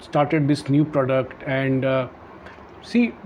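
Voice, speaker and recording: Very slow speech from a man, with noticeable background noise. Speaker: podcast host, author. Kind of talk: interview questions.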